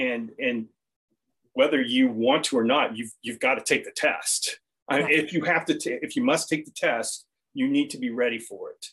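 A man with an American accent at a moderate pace, with big swings in loudness. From United States. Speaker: retired IT engineer, diving instructor and vegan pastry cook. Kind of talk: interview. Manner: halting.

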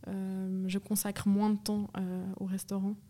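A woman's dark, mellow, somewhat breathy voice with monotone, flat intonation. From Switzerland, canton of Vaud. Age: 30s. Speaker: grocery network co-founder. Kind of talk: interview conversation. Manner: hesitant, many fillers.

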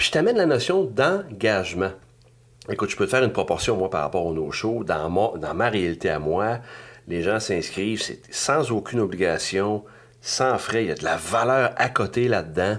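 In a Quebec accent, a man speaks with lively intonation. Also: fairly low pitch for a man, moderate pace. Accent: Québécois French. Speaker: business coach. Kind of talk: podcast monologue. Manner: animated.

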